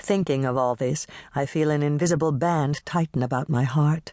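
A woman with a very deep, low pitch and fairly even intonation, dry and close with no echo, over a quiet background. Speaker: audiobook narrator. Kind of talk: dramatic audiobook narration of a fearful queen's first-person letter. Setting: studio. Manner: hushed, urgent and foreboding, voicing dread of palace violence; measured, intimate letter-reading cadence with earnest pleading.

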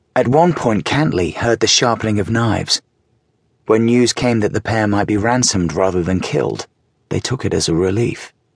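At a moderate pace, a man uses an ordinary speaking voice, fairly low in pitch, with very even loudness and ordinary pitch variation. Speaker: audiobook narrator. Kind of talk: audiobook narration of nonfiction, dramatic reading. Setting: studio recording. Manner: tense, gripping storytelling with a measured, suspenseful pace.

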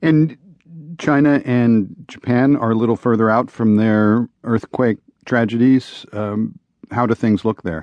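Here is a man with a normal speaking voice. He talks at a fairly slow pace with ordinary pitch variation. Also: medium pitch for a man. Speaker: radio news host. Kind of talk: formal news reading, broadcast headlines and sponsor credits. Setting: studio. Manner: formal; crisp, even-paced, authoritative newsreader delivery.

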